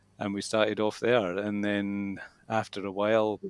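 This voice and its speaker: On a very clean recording with a silent background, a man with a Scottish accent speaks at a fairly low pitch with monotone, flat intonation. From Scotland. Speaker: English school manager and teacher. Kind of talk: interview. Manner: hesitant, many fillers.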